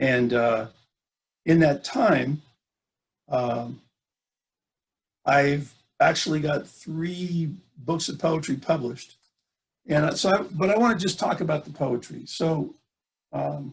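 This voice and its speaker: The speaker has an American accent and sounds somewhat breathy, with lively intonation. Delivery is very slow, broken by long, frequent pauses. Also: man, fairly high pitch for a man. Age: 60s. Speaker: poet and speaker. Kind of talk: talk. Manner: halting, many fillers.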